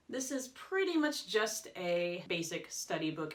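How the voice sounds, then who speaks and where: A woman talks very slowly, with noticeable background noise behind her. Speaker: language learner vlogger; teacher. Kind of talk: casual vlog talk. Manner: casual, filler words.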